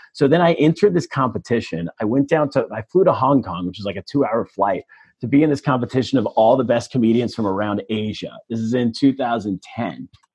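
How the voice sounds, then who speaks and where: Dry and close with no echo, a man with an American accent and a plain, everyday voice talks at a fairly quick pace with hardly any pauses, medium pitch and lively intonation. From Northern California (El Dorado Hills, near Sacramento). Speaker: comedian. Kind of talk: casual chat.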